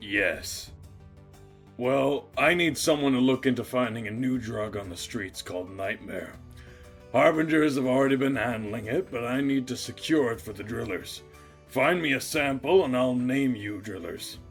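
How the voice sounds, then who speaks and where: Over clear background music, a man uses a raspy put-on character voice at medium pitch. He keeps a moderate pace with ordinary pitch variation. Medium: actual play.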